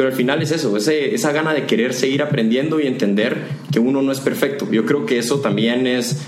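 A man talks at a fairly quick pace with audible room echo and noticeable background noise. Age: 20s. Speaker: corporate manager and entrepreneur. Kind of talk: casual interview.

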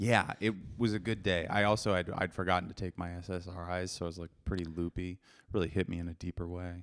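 A man speaks very fast in a very deep, low pitch, flat and monotone, on a very clean recording with a silent background. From US Pacific Northwest (Seattle). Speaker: comedian. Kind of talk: casual chat.

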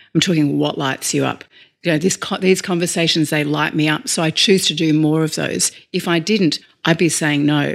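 A woman with an Australian accent speaks in a very deep, low voice. Her pace is moderate and her intonation fairly even. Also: very clean recording, silent background. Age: 40s. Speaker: leadership coach. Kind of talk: interview conversation.

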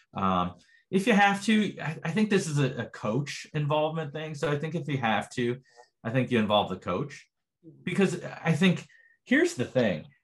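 With vocal fry, a man talks in a fairly high voice that makes very wide pitch swings. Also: moderate pace. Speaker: sports psychologist. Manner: hesitant, many fillers.

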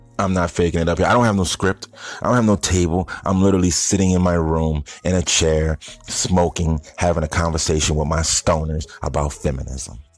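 A man's very deep, low voice at a fairly quick pace, with very even loudness, ordinary pitch variation and noticeable background noise. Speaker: podcast host. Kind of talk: casual monologue. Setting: sitting in bedroom. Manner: stumbling over words.

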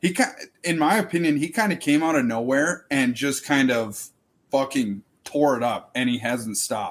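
In a Minnesotan accent, a man with a fairly high pitch speaks at a moderate pace with lively intonation. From Duluth, Minnesota. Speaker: podcast co-host, former college hockey player. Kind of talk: casual chat.

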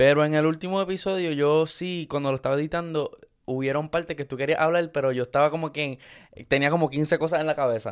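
On a very clean recording with a silent background, a man talks at a very fast pace in a fairly high pitch. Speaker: podcast co-host, content creator. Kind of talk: casual chat. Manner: animated.

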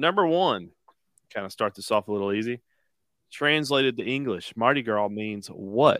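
A normal speaking voice with lively intonation. The recording is very clean and dry, with a silent background and a close sound with no echo. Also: man, medium pitch for a man, moderate pace. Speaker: podcast co-host. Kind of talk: casual chat. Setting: live stream.

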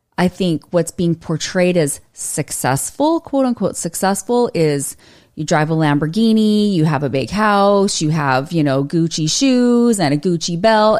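A woman with an American accent and an unremarkable speaking voice talks at a moderate pace, fairly low in pitch, with lively intonation. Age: 40s. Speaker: author. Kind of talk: casual chat. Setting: studio.

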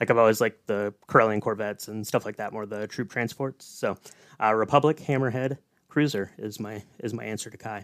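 A man with an ordinary speaking voice talks at a fairly quick pace and fairly low pitch, his intonation fairly even but his loudness swinging widely, in a dry, close sound with no echo. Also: very clean recording, silent background. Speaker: podcast co-host. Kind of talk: casual chat.

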